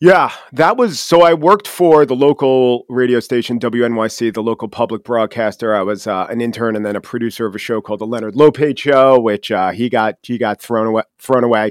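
Speaking at a fairly quick pace with hardly any pauses, a man uses a medium pitch and ordinary pitch variation in a dry, close sound with no echo. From Long Island, New York. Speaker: podcast host and commentator. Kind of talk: interview conversation. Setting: studio. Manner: fast talker.

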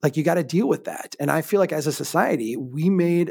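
A normal speaking voice belongs to a man with an American accent, pitched fairly high with ordinary pitch variation, in a very clean recording with a silent background. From Minnesota, small town. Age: 40s. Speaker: urban planner and author. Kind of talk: casual chat.

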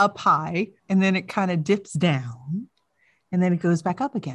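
A woman speaks loudly at a medium pitch and a fairly slow pace. The background is quiet. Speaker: podcast host. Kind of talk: casual chat. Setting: video call. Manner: animated.

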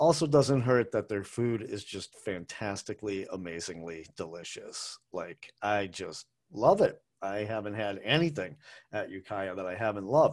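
Speaking with an American accent at a moderate pace, a man has a fairly low, unremarkable speaking voice with lively intonation and big swings in loudness. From Massachusetts, US (Brookline). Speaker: food podcast host. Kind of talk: casual monologue. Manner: casual, rambling with fillers.

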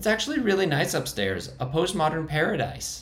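A squeaky, put-on character voice at a fairly quick pace. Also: man. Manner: scoffing.

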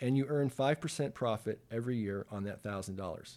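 A man speaks in a dark, mellow tone on a very clean recording with a silent background. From Canada, Toronto. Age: 50s. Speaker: accountant. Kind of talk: interview.

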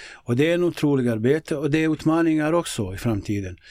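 A man talks with a Bosnian accent. His pace is fairly quick. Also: very clean recording, silent background. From Bosnia, former Yugoslavia. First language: Bosnian (speaking Swedish). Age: 50s. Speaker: local politician and youth football coach. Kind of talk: interview conversation. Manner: hesitant, many fillers.

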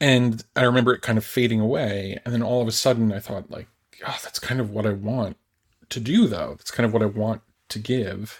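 A man's medium-pitched, fairly quick delivery in an American accent, an ordinary speaking voice with fairly even intonation. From United States. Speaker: writer and author. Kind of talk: casual chat.

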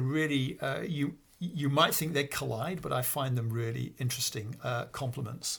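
This recording is very clean, with a silent background. A man at medium pitch speaks at a moderate pace with fairly even intonation. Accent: northern English. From northern England, Peak District. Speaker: computer scientist and college principal. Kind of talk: interview. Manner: halting, many fillers.

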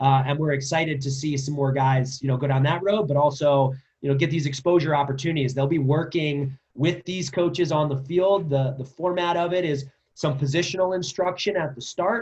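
The voice is somewhat breathy with ordinary pitch variation. The pace is fairly quick. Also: man, fairly high pitch for a man. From New Jersey, Princeton area. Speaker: lacrosse club director and coach. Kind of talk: interview.

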